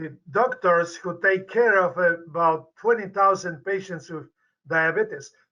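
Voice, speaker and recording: With a Polish accent, a man speaks fairly slowly in a high, bright, sharp tone, his pitch varying in an ordinary way while his loudness swings widely. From Poland. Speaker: medical professor and researcher. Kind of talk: interview. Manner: halting.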